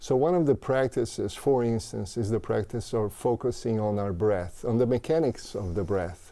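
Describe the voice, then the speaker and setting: Dark, mellow tone from a man with a Portuguese accent, medium pitch, ordinary pitch variation and a moderate pace. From Brazil. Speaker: mindfulness teacher and author. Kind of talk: interview. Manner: halting.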